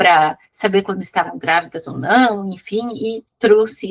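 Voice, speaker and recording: A woman's medium-pitched voice shows ordinary pitch variation, heard as a dry, close sound with no echo. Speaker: physics teacher. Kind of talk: online class lecture. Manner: fast.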